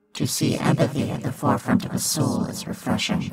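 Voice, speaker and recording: A man puts on a character voice. He talks at a fairly quick pace. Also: fairly high pitch for a man. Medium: read story. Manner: cold, terse, pronouncing judgment.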